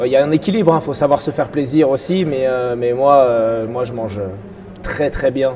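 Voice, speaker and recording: Ordinary pitch variation in a man's voice, with noticeable background noise behind it. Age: 30s. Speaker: breakdancer and dance teacher. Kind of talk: interview.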